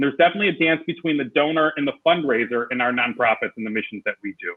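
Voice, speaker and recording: Talking at a very fast pace, a man uses lively intonation at a fairly high pitch. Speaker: sales trainer and fundraising consultant. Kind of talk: conference presentation over video call.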